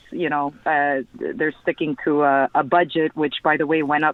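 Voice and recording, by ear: A man with a plain, everyday voice speaks at a fairly high pitch and a moderate pace.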